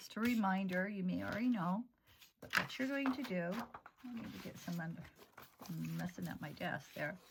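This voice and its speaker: A woman talks at a medium pitch and moderate pace. Her voice is somewhat breathy, with lively intonation. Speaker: art therapy instructor. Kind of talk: tutorial. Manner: casual, halting.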